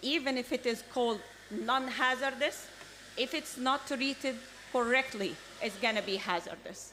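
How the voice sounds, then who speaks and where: With noticeable background noise behind her, a woman speaks in a passionate tone at a moderate pace with ordinary pitch variation. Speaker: government official. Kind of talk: panel presentation. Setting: conference stage with audience.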